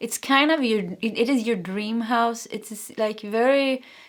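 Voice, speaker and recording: Someone with a Swedish accent is heard on a very clean recording with a silent background. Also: woman. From Sweden. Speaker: tarot reader. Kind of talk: tarot reading. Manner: halting.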